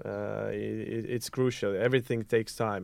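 The delivery is monotone, with flat intonation and an Estonian accent. The background is quiet. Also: man. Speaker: student council head. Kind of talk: casual chat. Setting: studio. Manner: hesitant, many fillers.

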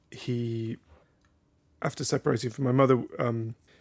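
With fairly even intonation and a fairly quick pace, a man speaks at medium pitch in a plain, everyday voice. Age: 30s. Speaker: philosophy teacher in prisons and author. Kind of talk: casual chat.

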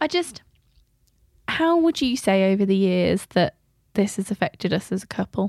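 With an English accent, a woman speaks at a moderate pace and medium pitch, her pitch swinging very widely and her loudness very even, leaving long, frequent pauses in a dry, close sound with no echo. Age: 20s. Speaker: podcast host. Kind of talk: casual chat.

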